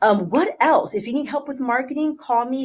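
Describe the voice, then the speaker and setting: A woman speaks at a fairly quick pace in a high pitch. The background is quiet. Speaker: photo booth business owner and tutorial host. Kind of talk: tutorial.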